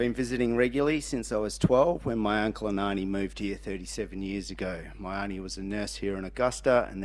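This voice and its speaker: This man has an Australian accent. He talks fairly quickly. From rural Western Australia. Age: 40s. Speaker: council candidate. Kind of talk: candidate speech.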